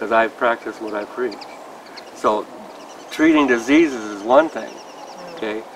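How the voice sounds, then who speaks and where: A man talks at a medium pitch and a moderate pace. Background noise is noticeable. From United States. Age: 60s. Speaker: homeopathic doctor and teacher. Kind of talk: interview. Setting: summer school in Prague.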